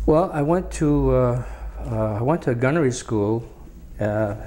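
A man talks with a New England accent at a moderate pace. Light background noise sits behind him. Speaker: war veteran. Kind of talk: oral history interview. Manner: halting. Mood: calm, reminiscing. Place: studio. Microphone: lapel.

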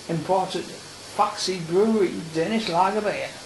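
Noticeable background noise accompanies a man who speaks at a fairly slow pace. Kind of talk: casual video diary to camera. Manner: mumbling.

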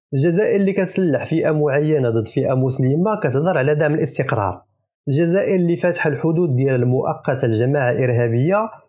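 Over a quiet background, a man with a Moroccan accent and a fairly high pitch talks at a fairly quick pace, his somewhat breathy voice dark and mellow in tone with lively intonation. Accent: Moroccan Darija. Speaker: political commentator. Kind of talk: mocking political commentary. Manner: animated.

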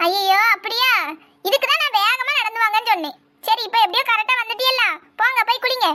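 A woman in a cartoonish character voice, extremely high in pitch, with very even loudness and ordinary pitch variation. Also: moderate pace. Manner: scolding, exasperated.

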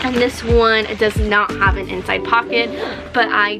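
A woman talks fairly slowly while clear music sounds behind her. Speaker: collector vlogger. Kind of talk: casual vlog chat. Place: home room.

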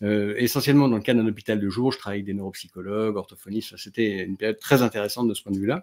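A man's fairly low voice at a very fast pace, fairly even in intonation, with hardly any pauses and a quiet background. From France, Grenoble (Alps); France. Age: 40s. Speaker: neurologist; interview guest. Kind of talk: casual chat. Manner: halting. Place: home room.

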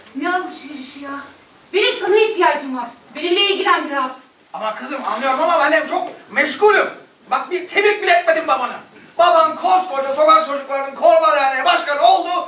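High-pitched female voice at a fairly quick pace, with big swings in loudness, audible room echo and light background noise. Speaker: amateur stage actor playing a father. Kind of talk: theatrical dialogue. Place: stage. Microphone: camera far.

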